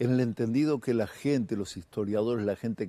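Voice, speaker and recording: A man with a Uruguayan accent speaks at medium pitch in a dark, mellow tone with ordinary pitch variation. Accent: Rioplatense Spanish (Uruguayan). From Uruguay, Montevideo. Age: 60s. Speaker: singer-songwriter and guitarist; guest. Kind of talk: casual TV interview. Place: studio. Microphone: lapel.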